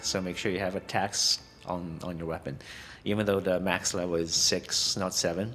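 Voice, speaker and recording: Music sits in the background as a man speaks. He has a non-native accent and keeps a moderate pace. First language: not English. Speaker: gaming content creator. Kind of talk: game build guide tutorial. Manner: halting, many fillers and restarts.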